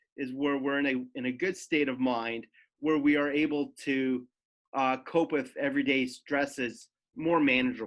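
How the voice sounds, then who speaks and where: Against a quiet background, a man speaks at a fairly high pitch. His pace is moderate. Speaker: mental health speaker in music industry. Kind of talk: presentation. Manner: halting, self-correcting.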